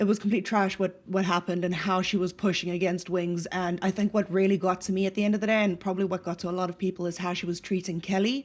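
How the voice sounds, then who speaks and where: Very fast with hardly any pauses, a woman talks at a medium pitch in a monotone, flat way. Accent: South African. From South Africa. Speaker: stream panelist. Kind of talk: casual chat.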